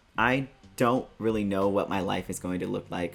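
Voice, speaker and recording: This man has a very deep, low voice. His pitch varies in an ordinary way. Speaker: artist vlogger. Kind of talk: personal vlog update.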